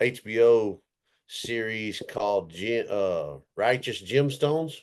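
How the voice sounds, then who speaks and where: A man with a strong Texas accent, set against a quiet background. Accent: thick Texas. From Texas (Roby, rural West Texas). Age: 40s. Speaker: cowboy and stunt performer. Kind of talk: casual podcast interview.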